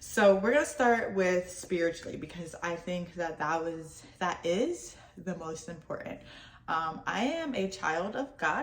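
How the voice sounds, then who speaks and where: A woman's medium-pitched voice moves with lively intonation at a fairly slow pace. The room has audible echo and noticeable background noise. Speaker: lifestyle vlogger. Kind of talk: casual vlog talk to camera. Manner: halting, stumbling over words.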